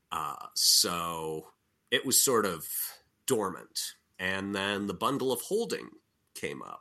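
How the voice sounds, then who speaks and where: Very slow and full of long, frequent pauses, a man's speech unfolds. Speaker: game designer and writer. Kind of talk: casual interview.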